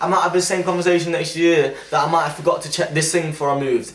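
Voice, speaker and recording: Very fast speech comes from a man with a fairly high pitch. Noticeable background noise runs underneath. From England, Leicester. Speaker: YouTuber. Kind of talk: casual vlog talk. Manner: enthusiastic, animated; loud.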